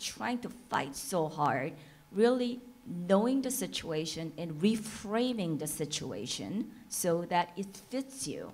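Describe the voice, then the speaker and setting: A fairly slow pace, very wide pitch swings, and a Korean accent. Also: woman. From South Korea. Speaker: entrepreneur and panelist. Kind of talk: panel discussion.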